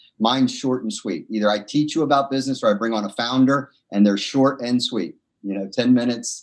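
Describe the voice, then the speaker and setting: This man speaks at a fairly quick pace and medium pitch, with ordinary pitch variation and hardly any pauses. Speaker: entrepreneur. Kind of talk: interview. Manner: fast; animated.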